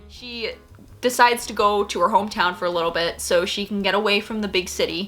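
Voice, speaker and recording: Over music in the background, a woman talks with an animated tone at a fairly quick pace, her medium pitch showing ordinary pitch variation. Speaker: YouTuber reviewing K-dramas. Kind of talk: casual vlog recommendations. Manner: fast.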